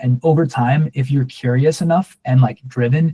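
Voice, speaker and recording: This man's voice is somewhat breathy with a dark, mellow tone, and he moves at a moderate pace. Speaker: online workshop instructor. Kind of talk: workshop Q and A. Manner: monotone; casual, with fillers and self-corrections.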